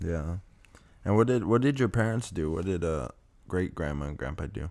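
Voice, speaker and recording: At a moderate pace, a man with a very deep, low pitch speaks with very wide pitch swings. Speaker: podcast host. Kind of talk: casual podcast conversation.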